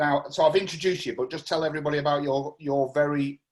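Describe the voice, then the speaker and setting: This man talks at a very fast pace with a fairly high pitch. His intonation is monotone and flat. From northern England, Greater Manchester (Salford, Whitefield). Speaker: local councillor hosting community meeting. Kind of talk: casual online meeting chat. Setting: video call.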